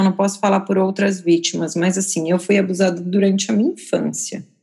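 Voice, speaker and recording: A woman with an unremarkable speaking voice talks at a moderate pace and a medium pitch. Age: 30s. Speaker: photographer. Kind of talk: casual chat.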